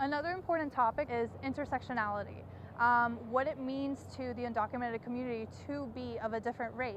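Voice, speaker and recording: A woman with an American accent, high-pitched, very fast, with fairly even intonation. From came to the US from Croatia at age five. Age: 20s. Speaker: undocumented college student. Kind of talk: personal testimony.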